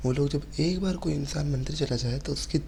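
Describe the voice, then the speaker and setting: Over noticeable background noise, a soft-spoken man talks. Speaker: religious content creator. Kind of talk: reply video monologue. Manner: speaks softly.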